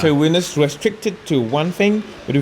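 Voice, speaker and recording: There is noticeable background noise. Through it a man talks at a moderate pace. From Mauritius. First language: Mauritian Creole. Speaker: gymnastics and parkour coach. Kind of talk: interview answer. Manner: hesitant, with fillers.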